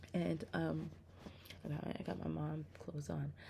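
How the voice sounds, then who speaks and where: A woman is speaking. Her voice is soft-spoken. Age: 30s. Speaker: religious vlogger. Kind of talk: testimony. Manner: halting.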